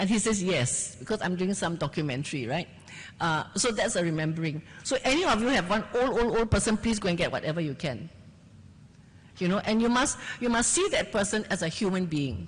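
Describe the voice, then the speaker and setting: Somewhat breathy, a woman speaks at a fairly quick pace with lively intonation and very even loudness. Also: medium pitch for a woman. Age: 70s. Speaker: journalist, festival panelist. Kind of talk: panel discussion. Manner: animated.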